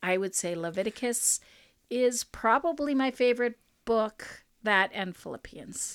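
A woman speaks in a plain, everyday voice, fairly high-pitched, at a fairly slow pace with lively intonation and big swings in loudness. The recording is very clean with a silent background and a dry, close sound with no echo. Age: 50s. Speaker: podcast host, ministry. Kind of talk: casual chat.

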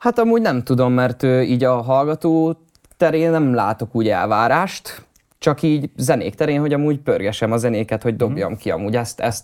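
A man's plain, everyday voice, medium in pitch, with ordinary pitch variation, very even loudness, and a fairly quick pace. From Hungary, Hódmezővásárhely. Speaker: rapper and music producer. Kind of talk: interview.

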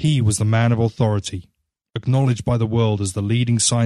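Against a quiet background, plain reading aloud at a fairly even intonation

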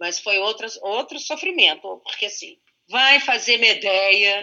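The pitch swings very widely as a woman talks. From Brazil, Santos (São Paulo state). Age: 50s. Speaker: actress. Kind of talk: casual chat. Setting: online call.

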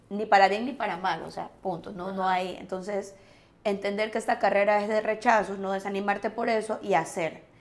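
Speaking at a fairly quick pace, a woman keeps a medium pitch in a monotone, flat intonation. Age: 40s. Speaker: actress. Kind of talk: casual chat.

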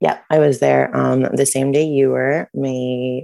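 A woman with an American accent, recorded dry and close with no echo. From US Midwest (Detroit, Michigan area). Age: 30s. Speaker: concert venue worker. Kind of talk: casual chat.

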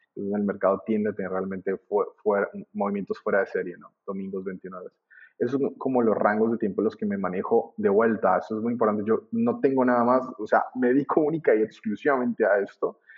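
Hardly any pauses interrupt a man who speaks at a fairly quick pace. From Colombia. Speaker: trading teacher. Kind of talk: interview. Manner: halting.

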